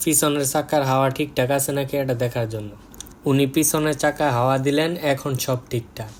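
Fairly high in pitch, a man speaks in a plain, everyday voice with fairly even intonation. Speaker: vlogger. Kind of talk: vlog narration.

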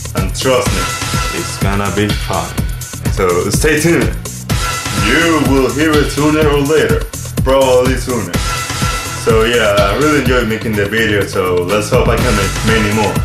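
A man at a moderate pace with long, frequent pauses, against clear background music. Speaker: new youtuber. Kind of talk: casual talk to camera. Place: home room. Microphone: webcam.

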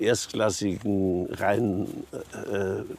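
A man speaks at a fairly low pitch in a dry sound with no echo. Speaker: interviewee. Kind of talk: interview answer. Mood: reflective, occasionally amused. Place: waterside. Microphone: lapel.

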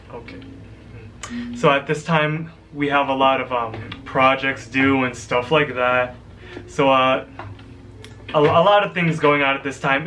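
A man talks at a fairly slow pace with fairly even intonation. He leaves long, frequent pauses, with light noise behind him. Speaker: college student vlogger. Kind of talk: casual vlog chat. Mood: relaxed, slightly nervous. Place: home room. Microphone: webcam.

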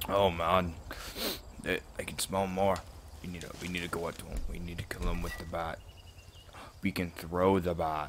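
Through noticeable background noise, a man with a very deep, low voice speaks at a moderate pace, leaving long, frequent pauses. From Australia. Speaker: gaming YouTuber. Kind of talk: gameplay commentary. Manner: animated.

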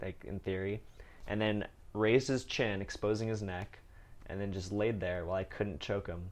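A man with a normal speaking voice talks at a moderate pace, in a fairly low pitch with fairly even intonation. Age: 20s. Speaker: podcast host. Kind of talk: casual chat. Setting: in person at home drinking tea.

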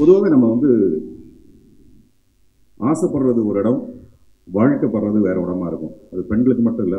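The man's voice comes through over a quiet background. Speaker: actor giving a speech at a film celebration event. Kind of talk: animated stage speech, humorous and emotional. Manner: expressive, talkative, jokey. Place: stage. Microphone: podium.

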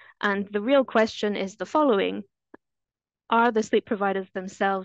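A woman at a moderate pace, fairly even intonation, dry sound with no echo, quiet background. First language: French. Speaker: anesthesiologist; presenter. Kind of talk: webinar presentation. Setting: video call.

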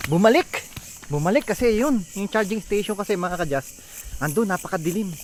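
Lively intonation and a fairly quick pace mark this man's speech. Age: 40s. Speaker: travel vlogger. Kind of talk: vlog narration. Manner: animated.

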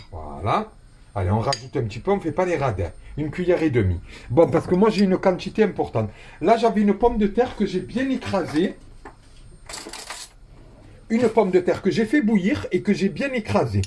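With light background noise, a man talks at a fairly quick pace in a high pitch that swings very widely. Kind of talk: cooking tutorial. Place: kitchen. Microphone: phone near.

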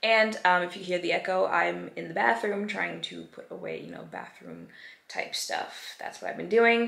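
Audible room echo surrounds a woman talking at a moderate pace. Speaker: vlogger. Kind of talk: casual vlog chat. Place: bathroom. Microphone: phone near.

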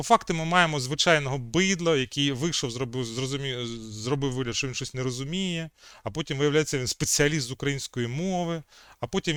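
With an unremarkable speaking voice, a man talks at a moderate pace in a fairly high pitch, using ordinary pitch variation, in a dry, close sound with no echo. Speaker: history video chat blogger. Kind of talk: video chat debate and history explanation. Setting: video call.

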